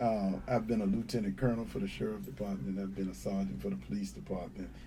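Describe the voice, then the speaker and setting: A man speaks very fast with an American accent, his fairly low pitch swinging very widely. Room echo is audible. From North Carolina (Wilmington). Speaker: sheriff candidate, police officer. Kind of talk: interview.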